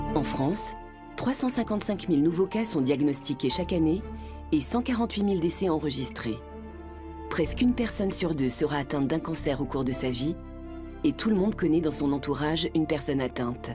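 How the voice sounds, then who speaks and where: Over clear music in the background, a woman with a very deep, low pitch speaks at a fairly quick pace with very wide pitch swings, very even loudness and long, frequent pauses. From France. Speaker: voice actor. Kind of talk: documentary narration. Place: booth. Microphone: studio mic.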